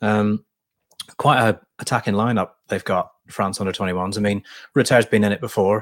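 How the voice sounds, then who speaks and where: A plain, everyday voice speaks at a moderate pace with fairly even intonation. The sound is dry and close, with no echo. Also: man, fairly low pitch for a man. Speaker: football journalist and co-host. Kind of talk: casual football podcast chat.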